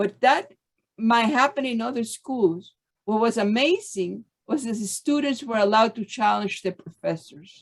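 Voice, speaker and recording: Speaking at a moderate pace with a Spanish accent, a woman uses a fairly high, somewhat breathy voice with ordinary pitch variation. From Cuba (Havana). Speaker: former student of the school. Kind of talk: panel discussion.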